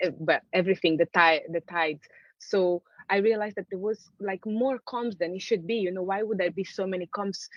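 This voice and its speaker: At a fairly quick pace, a woman speaks in a Portuguese accent at medium pitch with fairly even intonation. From Angola. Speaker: artist. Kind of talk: conversational interview. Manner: hesitant, many fillers and restarts.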